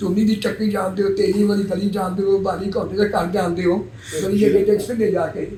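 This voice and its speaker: A man with a high pitch and monotone, flat intonation, over noticeable background noise. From Punjab, Pakistan (Kasur district). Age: 80s+. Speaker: 1947 Partition migrant. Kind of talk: interview answer.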